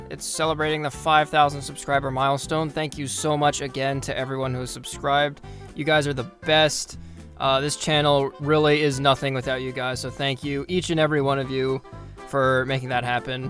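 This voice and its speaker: Music plays behind a man talking at a fairly quick pace. His fairly high voice stays monotone and flat. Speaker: hockey history YouTuber. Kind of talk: casual Q&A talk to camera.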